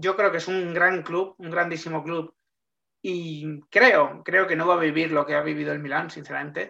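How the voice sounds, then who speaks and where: A high-pitched man's voice, bright and sharp in tone, at a moderate pace with fairly even intonation. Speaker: sports journalist. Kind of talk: interview, explanatory.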